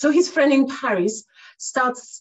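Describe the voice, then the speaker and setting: A woman speaks with lively intonation in a Cypriot Greek accent. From Cyprus. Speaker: math educator and author. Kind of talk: casual interview chat.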